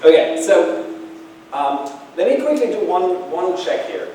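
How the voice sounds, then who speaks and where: A man speaks amid noticeable background noise and audible room echo. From Germany. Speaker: keynote speaker. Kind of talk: keynote talk. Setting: small audience event. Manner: loud.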